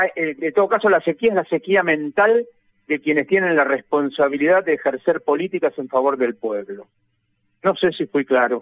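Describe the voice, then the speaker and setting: A man has an ordinary speaking voice with a fairly high pitch and lively intonation. He talks at a moderate pace, and the sound is dry and close with no echo. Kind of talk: radio interview.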